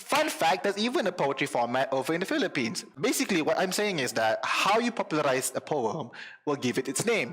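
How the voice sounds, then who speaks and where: A man's high, very fast voice with very wide pitch swings and very even loudness over noticeable background noise. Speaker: youtuber. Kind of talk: casual explainer vlog. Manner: code-switching Malay and English.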